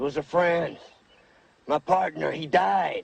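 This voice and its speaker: Putting on a raspy character voice, a man speaks at a fairly slow pace with a fairly high pitch and ordinary pitch variation. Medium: short film. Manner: terse, drawling.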